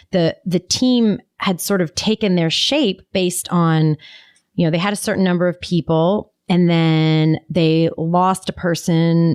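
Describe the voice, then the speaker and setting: With a plain, everyday voice, a woman speaks at a fairly slow pace and fairly low pitch, with ordinary pitch variation and very even loudness, in a dry, close sound with no echo. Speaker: podcast co-host; business facilitator. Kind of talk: podcast conversation.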